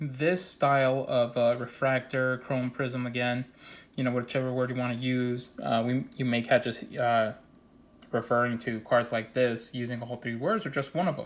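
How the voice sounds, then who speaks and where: This man talks at a moderate pace and medium pitch, his intonation monotone and flat. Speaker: sports card collector. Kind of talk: casual product showcase. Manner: casual, filler-heavy.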